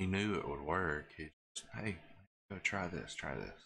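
Quiet and at a fairly slow pace, a man speaks with a very deep, low pitch and a bright, sharp tone. Pitch variation is ordinary, with light background noise. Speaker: gaming streamer. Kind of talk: live gameplay stream chat. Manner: quiet and hushed. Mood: earnest, reflective. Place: home room.

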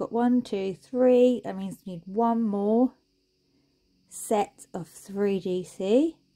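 Slow and dark, mellow in tone, a woman at medium pitch speaks with ordinary pitch variation.

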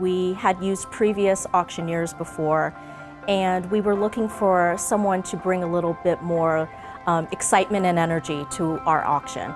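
Over clear music in the background, a woman talks at a fairly low pitch. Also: ordinary pitch variation, moderate pace. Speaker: event planner. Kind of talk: client testimonial interview answer. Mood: positive, appreciative. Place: meeting room. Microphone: lapel.

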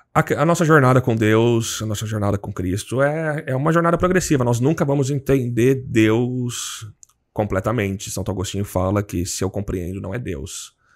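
Against a quiet background, a man speaks at a moderate pace. His pitch is medium and his intonation is lively. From Brazil, São Paulo state (Jundiaí); São Paulo state, Brazil. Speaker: seminarian, missionary; podcast guest. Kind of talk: casual interview, faith testimony. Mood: calm, earnest. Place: studio. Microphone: studio mic.

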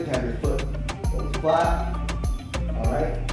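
Clear music plays in the background as a man speaks with audible room echo. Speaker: fitness trainer. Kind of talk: tutorial. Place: gym. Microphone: camera far.

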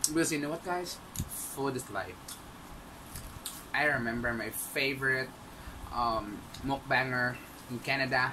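A man's fairly slow speech with long, frequent pauses, ordinary pitch variation and noticeable background noise. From Visayas, Philippines. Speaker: mukbang vlogger. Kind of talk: casual talk to camera. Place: home room. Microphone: webcam.

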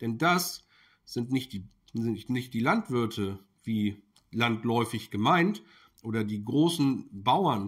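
Against a quiet background, a man talks at a medium pitch with lively intonation. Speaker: political commentary YouTuber. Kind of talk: video commentary monologue. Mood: critical, indignant. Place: kitchen.

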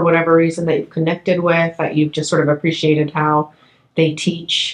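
A woman speaks at a fairly low pitch. Room echo is audible. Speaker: history professor. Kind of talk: oral history interview. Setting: in person. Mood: gentle, supportive. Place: studio.

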